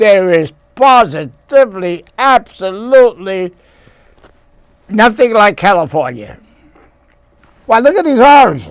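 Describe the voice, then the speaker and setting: A man with a high pitch talks at a fairly slow pace, leaving long, frequent pauses. His pitch swings very widely. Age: 80s+. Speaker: entertainer. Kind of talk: casual talk to camera. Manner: enthusiastic.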